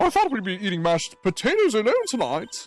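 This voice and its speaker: Over faint background music, a man puts on a character voice at a high pitch and a fairly quick pace. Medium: game stream.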